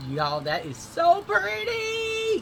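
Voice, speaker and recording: A woman with a Southern US accent speaks at a very slow pace. Noticeable background noise runs behind her. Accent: US South. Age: 60s. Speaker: beauty vlogger. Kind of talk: casual makeup tutorial chat. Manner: animated.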